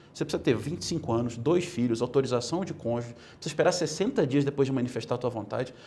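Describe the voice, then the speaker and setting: Talking at a very fast pace with hardly any pauses, a man's dark, mellow, somewhat breathy voice carries ordinary pitch variation. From Brazil. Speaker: political movement leader; interview guest. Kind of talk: interview. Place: studio. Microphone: lapel.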